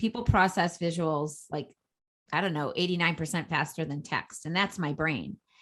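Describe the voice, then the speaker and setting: Fairly low-pitched woman's voice with a Boston accent, energetic and fairly quick, over a quiet background. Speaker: entrepreneur and social media coach. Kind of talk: podcast interview.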